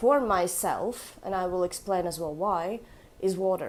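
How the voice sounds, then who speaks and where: A woman with a Russian accent talks at a very slow pace with lively intonation. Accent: Russian Eastern European. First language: Latvian. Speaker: orchid collector. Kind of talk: casual vlog. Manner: casual with fillers.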